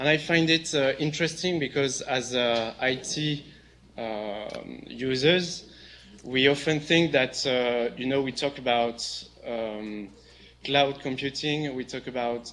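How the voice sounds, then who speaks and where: A man with a French accent at medium pitch, fairly slow pace and fairly even intonation. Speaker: software developer and company CTO. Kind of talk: conference talk. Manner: halting.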